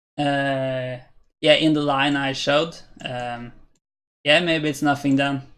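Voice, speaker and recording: Against a quiet background, a man speaks at a very slow pace with long, frequent pauses. His voice is fairly high and his intonation monotone and flat. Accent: Norwegian. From Norway. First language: Norwegian. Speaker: chess streamer. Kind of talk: live-stream commentary. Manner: hesitant, many fillers.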